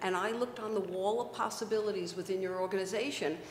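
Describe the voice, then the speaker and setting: The speaker goes at a moderate pace with ordinary pitch variation, over noticeable background noise and audible room echo. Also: woman. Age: 60s. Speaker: webcast host and success coach. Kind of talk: casual interview chat.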